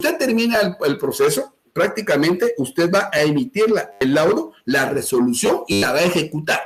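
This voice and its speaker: A man talks at a moderate pace. His pitch makes very wide swings. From Guatemala, Chimaltenango. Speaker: law lecturer. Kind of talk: lecture. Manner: animated.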